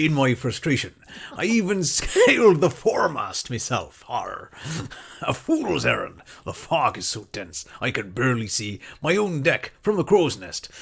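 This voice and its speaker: A man's put-on character voice, performed in a West Country accent. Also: fairly high pitch for a man, moderate pace. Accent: West Country pirate. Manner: theatrical, gruff.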